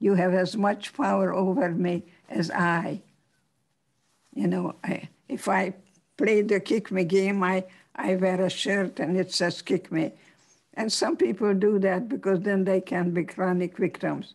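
Against a quiet background, a woman of medium pitch speaks at a fairly slow pace with vocal fry. Her loudness stays very even, with ordinary pitch variation. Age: 80s+. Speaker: psychologist and author. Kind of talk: talk and interview answer.

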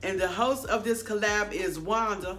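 A woman speaks at a moderate pace, her pitch varying in an ordinary way, while faint music sits in the background. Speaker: cooking vlogger. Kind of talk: casual vlog chat. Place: kitchen. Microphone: phone near.

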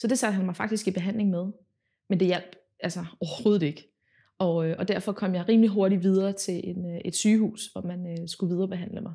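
The voice has a dark, mellow tone and is somewhat breathy. It moves at a fairly quick pace against a quiet background. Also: woman, fairly even intonation. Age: 20s. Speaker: patient. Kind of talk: testimony. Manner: halting, many filler words. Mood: calm, earnest. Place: home room.

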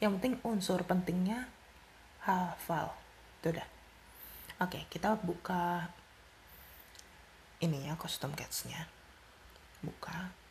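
A soft-spoken woman talks at a slow pace with long, frequent pauses. Her fairly low pitch shows ordinary pitch variation and a slightly mellow tone.

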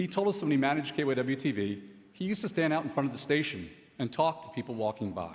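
Speaking at a very fast pace with an American accent, a man with a fairly high pitch shows vocal fry and very wide pitch swings. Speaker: advertising and media executive. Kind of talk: award acceptance speech.

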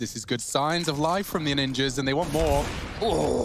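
The man talks at a moderate pace. Noticeable background noise is present. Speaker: esports caster. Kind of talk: live commentary. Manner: excitable.

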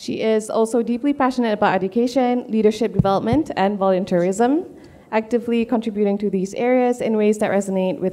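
A woman's fairly high voice, dark and mellow in tone, moves at a fairly quick pace with ordinary pitch variation. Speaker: event moderator. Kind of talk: formal introduction. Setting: stage with audience. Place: hall.

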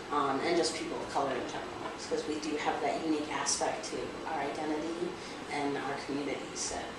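A woman at a very fast pace, with audible room echo and loud background noise. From Rosebud Reservation, South Dakota, USA. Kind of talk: interview answer. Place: meeting room.

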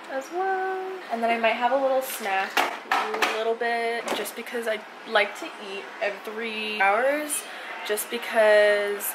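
Someone talks at a fairly slow pace over noticeable background noise. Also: woman. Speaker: lifestyle vlogger. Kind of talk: casual vlog chat. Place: kitchen. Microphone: phone near.

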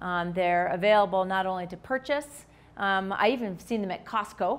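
This voice carries an American accent. It moves at a fairly quick pace. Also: woman. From Minnesota, US Midwest. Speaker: physician; presenter. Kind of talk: lecture. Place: hall.

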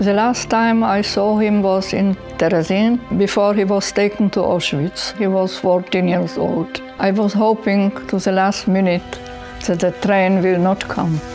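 A woman speaks at a fairly slow pace with fairly even intonation and very even loudness, with clear music in the background. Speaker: witness. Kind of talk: interview answer. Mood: quiet, sorrowful remembrance. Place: home room.

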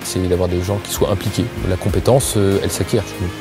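Clear music plays behind a man whose very deep, low pitch carries ordinary pitch variation. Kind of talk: interview answer. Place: office. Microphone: lapel.

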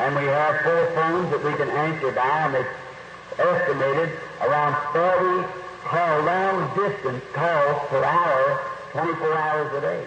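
The room echo is audible and the background noise is loud. A man talks at a fairly slow pace with long, frequent pauses. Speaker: preacher. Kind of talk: sermon.

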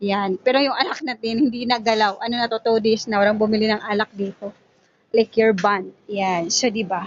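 A woman speaking at a moderate pace. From Zamboanga del Norte, Philippines. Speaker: sari-sari store owner vlogger. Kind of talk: casual vlog narration. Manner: filler-heavy, halting.

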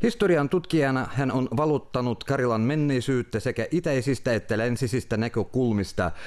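A man uses a normal speaking voice with ordinary pitch variation. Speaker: news presenter. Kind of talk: news reading. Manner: formal.

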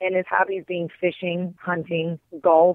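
Speaking at a moderate pace, a woman has a fairly low pitch and a Wisconsin accent. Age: 40s. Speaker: hunter, outdoor TV host and skull artist. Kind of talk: interview.

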